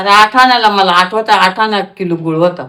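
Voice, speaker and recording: This woman speaks at a medium pitch with ordinary pitch variation and a bright, sharp tone. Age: 80s+. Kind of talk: interview answer.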